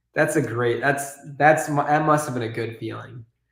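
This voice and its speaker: With audible room echo, a man talks at a fairly quick pace in a fairly high pitch. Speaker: YouTuber, toy building streamer. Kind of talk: live-stream building chat.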